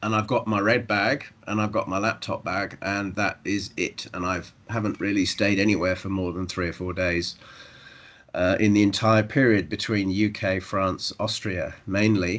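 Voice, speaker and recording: A man talks in a southern English accent at a moderate pace. His fairly low voice is monotone and flat. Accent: British, southern English. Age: old. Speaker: professor. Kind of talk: academic seminar talk.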